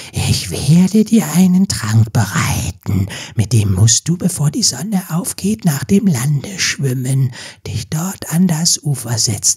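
In a put-on character voice, the speaker uses a low-to-middle pitch at a fairly slow pace. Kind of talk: fairy tale audiobook acting. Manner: mocking, ominous.

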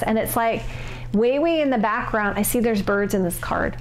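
Speaking at a fairly quick pace, a woman keeps her intonation fairly even over light background noise. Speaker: tarot reader. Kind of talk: tarot reading commentary. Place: home room.

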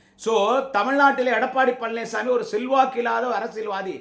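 A man's extremely high-pitched voice with ordinary pitch variation. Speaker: political party orator / campaign speaker. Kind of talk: angry political rally speech.

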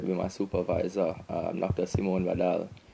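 Over noticeable background noise, the voice has a dark, mellow tone and moves at a moderate pace with monotone, flat intonation. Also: man. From Jamaica, rural Portland; Jamaica. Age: 20s. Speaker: biochemistry PhD graduate; interviewee. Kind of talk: interview testimony. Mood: relaxed, friendly. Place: office. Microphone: handheld.

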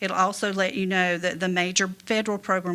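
The woman talks at a fairly quick pace. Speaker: auditor presenting to town council. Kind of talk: presentation at public meeting. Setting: town council meeting. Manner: fast.

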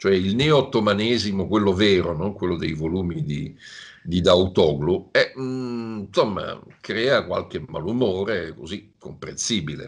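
This man's intonation is lively, and the background is quiet. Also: fairly low pitch for a man, fairly slow pace. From Italy. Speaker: security analyst, professor. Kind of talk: interview answers. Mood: relaxed, analytical. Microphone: video call.

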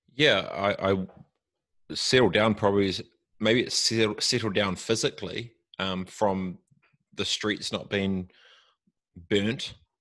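In a New Zealand accent, a man with a fairly low voice and fairly even intonation speaks very slowly against a quiet background, with long, frequent pauses. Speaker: tech entrepreneur. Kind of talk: interview. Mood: reflective, opinionated. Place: home room. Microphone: studio mic.

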